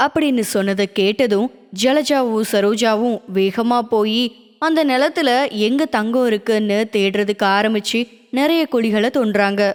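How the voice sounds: This woman has a fairly high pitch and a clear, smooth tone with ordinary pitch variation. She speaks at a fairly slow pace with few pauses.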